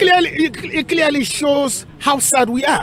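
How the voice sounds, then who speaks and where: An extremely high male voice over crowd noise in the background. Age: 60s. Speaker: priest. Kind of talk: interview. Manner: halting.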